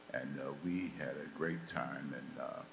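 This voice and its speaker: Someone speaks in an American accent, with audible room echo around the voice. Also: man. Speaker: former football player. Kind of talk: panel talk to students. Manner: halting, many fillers.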